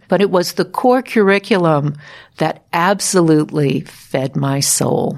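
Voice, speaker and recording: A woman with a plain, everyday voice speaks at a fairly low pitch with ordinary pitch variation. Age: 60s. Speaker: podcast host and former radio journalist. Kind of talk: scripted narration.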